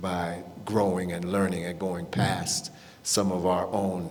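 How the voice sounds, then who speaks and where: With audible room echo, a man in an American accent speaks very slowly at a very deep, low pitch. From US Midwest, Warren, Ohio. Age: 60s. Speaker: panelist. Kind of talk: panel discussion. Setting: stage with audience. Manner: halting.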